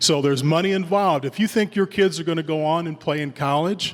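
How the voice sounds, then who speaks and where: This man talks at a moderate pace, his pitch varying in an ordinary way. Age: 60s. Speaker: middle school band director. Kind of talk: farewell speech at concert. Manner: conversational, halting with fillers.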